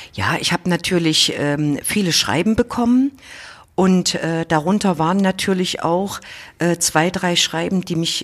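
A woman speaks with a plain, everyday voice. Her pitch is fairly low, her pace fairly slow, and her pitch variation ordinary. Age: 50s. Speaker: state parliament president, politician. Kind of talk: interview. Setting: office.

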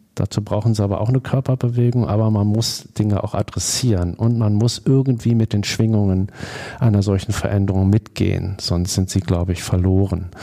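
A man's fairly low, dark, mellow voice with fairly even intonation, very even loudness and a moderate pace. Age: 50s. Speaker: foundation board member. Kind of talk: interview. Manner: hesitant, many filler sounds.

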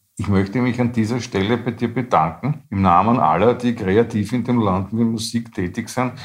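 A man talks at medium pitch and a moderate pace. It is a normal speaking voice with ordinary pitch variation. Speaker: podcast co-host. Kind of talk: casual chat. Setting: studio.

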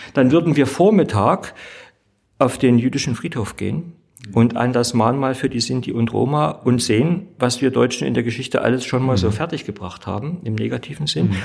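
At a moderate pace, a man with a medium pitch uses lively intonation and vocal fry. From East Germany. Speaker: theologian and state politician. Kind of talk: debate discussion.

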